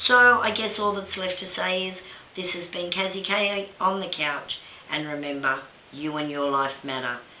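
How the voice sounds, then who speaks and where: Audible room echo and noticeable background noise surround a woman with an Australian accent who speaks at a moderate pace in a medium pitch with lively intonation. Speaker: video blogger and victims' rights advocate. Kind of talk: opinion monologue to camera. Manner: impassioned.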